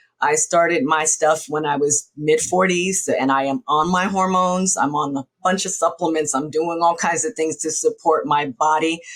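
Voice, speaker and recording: A woman's fairly low-pitched voice, an ordinary speaking voice, at a moderate pace with ordinary pitch variation and hardly any pauses. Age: 60s. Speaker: gynecologist. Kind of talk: interview podcast.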